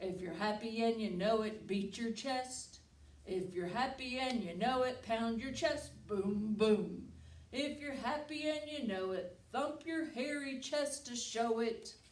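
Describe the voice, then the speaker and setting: A female-sounding voice puts on a character voice at a fairly high pitch. She speaks at a fairly slow pace, with a slight echo. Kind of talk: bedtime story. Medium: read story. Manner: scornful.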